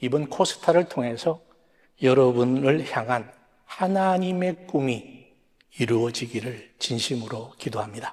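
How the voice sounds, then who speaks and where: Lively intonation marks this man's speech. His pitch is medium and his pace fairly slow. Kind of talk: sermon. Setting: stage with audience. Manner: soft-spoken.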